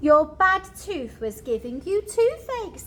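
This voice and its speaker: Over clear background noise, a woman performs a put-on character voice at an extremely high pitch, with very wide pitch swings and a fairly slow pace. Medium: read story.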